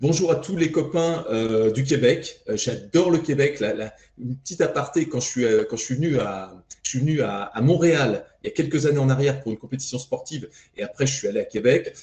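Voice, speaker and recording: A man's fairly high, fairly quick, lively voice, a normal speaking voice. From France. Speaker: fitness coach trainer. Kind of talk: podcast interview.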